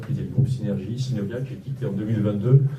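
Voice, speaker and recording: Amid audible room echo, a man talks at a medium pitch with fairly even intonation. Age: 60s. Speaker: local political candidate, entrepreneur. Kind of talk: campaign speech. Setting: campaign office opening, live audience. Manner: hesitant, many fillers.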